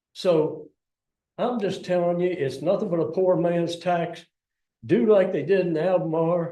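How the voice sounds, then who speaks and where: This man talks with a Virginia accent at a high pitch. His pace is moderate. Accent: Virginia Southern. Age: 80s+. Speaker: public commenter, retired restaurant owner. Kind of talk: public comment at county meeting. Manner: plainspoken, emphatic.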